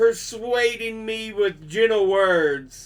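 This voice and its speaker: A put-on character voice at a very slow pace. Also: man. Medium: read story.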